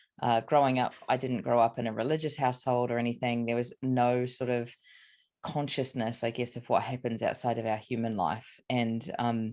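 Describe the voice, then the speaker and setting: In a New Zealand accent, a woman speaks at a very deep, low pitch with fairly even intonation. Her pace is moderate, and the background is quiet. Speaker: psychic medium and spiritual mentor. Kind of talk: interview, casual chat. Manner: hesitant, many fillers.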